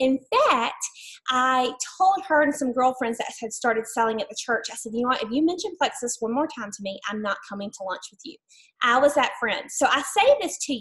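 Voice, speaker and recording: Speaking at a fairly quick pace in an Alabama accent, a woman uses a high pitch with very wide pitch swings. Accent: Southern US (Alabama). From US South, Mobile, Alabama. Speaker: network marketing distributor. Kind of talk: testimony.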